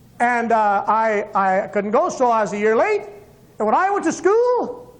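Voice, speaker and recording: A man speaks at a moderate pace in an extremely high pitch, his intonation lively and his loudness very even, with audible echo from the room. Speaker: evangelist. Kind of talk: testimony. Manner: animated.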